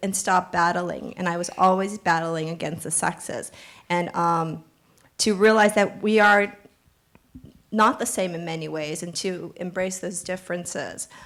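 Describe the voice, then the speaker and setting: Fairly slow, fairly even speech from a woman, pitched in the medium range. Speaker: author and documentary filmmaker. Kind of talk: panel discussion. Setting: stage with audience.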